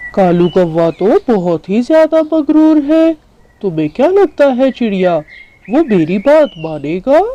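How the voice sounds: The cartoonish character voice sits at a fairly high pitch and moves fairly slowly, with very wide pitch swings.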